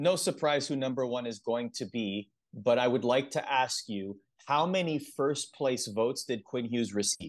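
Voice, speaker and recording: This is a normal speaking voice from a man at a moderate pace. His medium pitch shows ordinary variation over a quiet background. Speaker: podcast host. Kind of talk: casual sports podcast chat.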